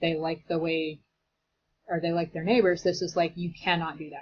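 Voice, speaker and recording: Very fast and somewhat breathy, a woman talks at a fairly low pitch. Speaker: teacher. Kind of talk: lecture. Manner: casual, conversational.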